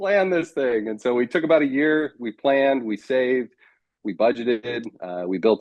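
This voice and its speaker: A plain, everyday voice from a medium-pitched man, lively in intonation, at a moderate pace with an American accent. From United States. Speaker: marriage coach. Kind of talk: interview.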